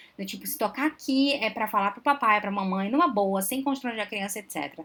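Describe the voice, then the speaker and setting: A woman's fairly high voice with a bright, sharp tone and a Belém accent, at a fairly quick pace with ordinary pitch variation, on a very clean recording with a silent background. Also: big swings in loudness. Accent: Belém accent, noticeable. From Belém do Pará, northern Brazil. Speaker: psychologist, relationship advisor. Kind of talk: live stream Q&A talk. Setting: live stream.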